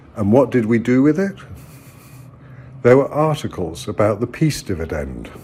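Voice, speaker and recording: A man with an English accent speaks at a medium pitch and a moderate pace, with a dark, mellow tone and vocal fry. His pitch swings very widely, and long, frequent pauses break up his speech. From England. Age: 60s. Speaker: political commentator. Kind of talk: personal video monologue. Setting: at home.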